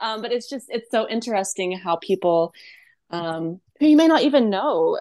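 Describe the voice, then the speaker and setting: Here is an ordinary speaking voice with lively intonation at a moderate pace. The background is quiet. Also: woman. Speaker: podcast co-host.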